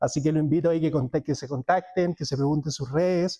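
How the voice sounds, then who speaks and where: Speaking with a Chilean accent, a man uses a dark, mellow tone and fairly even intonation, the sound dry and close with no echo. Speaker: cloud technology speaker. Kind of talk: conference talk. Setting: stage with audience. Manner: fast.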